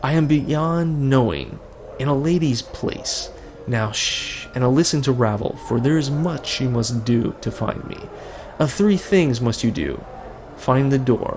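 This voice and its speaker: A man puts on a raspy character voice at medium pitch and a fairly slow pace, with clear background noise behind him. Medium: actual play. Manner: odd inverted word order, hissing.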